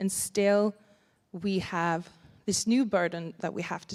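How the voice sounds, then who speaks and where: Speech comes at a fairly slow pace with fairly even intonation and a Sami accent. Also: woman. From Sapmi (northern Scandinavia). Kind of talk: conference panel talk. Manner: halting, with many fillers and repetitions.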